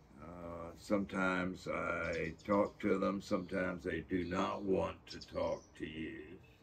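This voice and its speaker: A man's very deep, low voice with an American accent, somewhat breathy, fairly even in intonation, over light background noise. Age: 80s+. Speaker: painter and art professor; navy veteran. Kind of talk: interview answer. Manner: casual, halting with fillers. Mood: animated storytelling, acts out quotes. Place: workshop. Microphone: camera far.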